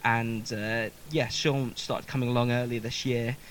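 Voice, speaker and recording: A man with a southern English accent talks at a moderate pace. His medium-pitched voice keeps a fairly even intonation. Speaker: musician and live session host. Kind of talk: casual live-stream chat. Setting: basement live stream.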